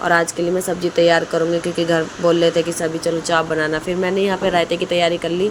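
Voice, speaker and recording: A woman with a fairly low pitch speaks at a moderate pace in a monotone, flat intonation over noticeable background noise. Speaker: cooking vlogger. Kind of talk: casual vlog narration. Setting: home kitchen.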